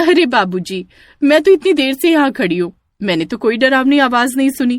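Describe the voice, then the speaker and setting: A high-pitched, cartoonish character voice talks at a moderate pace. The recording is very clean, with a silent background. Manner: sweet-voiced then menacing.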